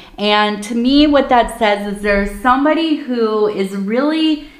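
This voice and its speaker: Room echo can be heard as a woman talks at a moderate pace. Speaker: tea leaf reader. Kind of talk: casual divination reading. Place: home room.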